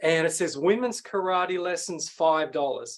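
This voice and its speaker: A man with an Australian accent and a high pitch speaks at a fairly slow pace. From Sydney, Australia. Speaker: pitch coach and speaker. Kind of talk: masterclass presentation.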